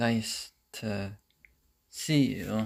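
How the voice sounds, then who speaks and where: A man speaks quietly. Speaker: gardening livestreamer. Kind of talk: casual livestream chat. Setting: livestream at home, in the kitchen.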